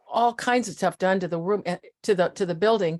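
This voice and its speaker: A woman with an American accent, medium pitch, fairly even intonation and a moderate pace, in a dry, close sound with no echo. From US Midwest (Iowa and Nebraska). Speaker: community volunteer. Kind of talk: casual group video chat.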